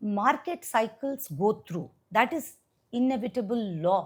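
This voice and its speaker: A woman speaks at a fairly slow pace and fairly high pitch. Her somewhat breathy voice has lively intonation. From India, Hyderabad. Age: 60s. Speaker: venture capitalist. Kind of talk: interview conversation. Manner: animated.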